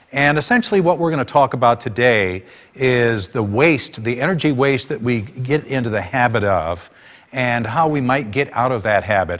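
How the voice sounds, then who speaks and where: A man with a medium-pitched voice talks at a moderate pace with lively intonation. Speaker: energy conservation presenter. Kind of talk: workshop presentation. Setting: public workshop with audience.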